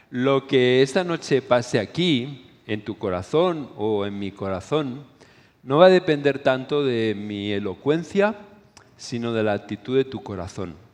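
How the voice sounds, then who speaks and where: Lively intonation colors a man's fairly slow delivery. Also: medium pitch for a man. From Spain. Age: 60s. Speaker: preacher / conference speaker. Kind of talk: sermon.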